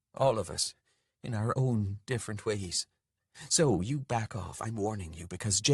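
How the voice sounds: Behind a natural reading voice the background is quiet, and its pitch varies in an ordinary way.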